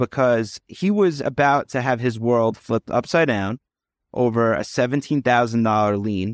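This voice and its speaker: In an American accent, a man with a normal speaking voice talks at a moderate pace and a medium pitch with ordinary pitch variation, recorded very cleanly against a silent background with dry, close sound and no echo. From New York, Long Island. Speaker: realtor and short-term rental investor. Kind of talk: casual interview.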